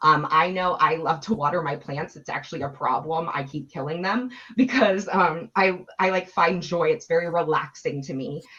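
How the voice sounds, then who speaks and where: A woman talks with a fairly low voice and ordinary pitch variation. Noticeable background noise is heard behind her. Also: hardly any pauses. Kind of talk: webinar presentation. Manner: fast.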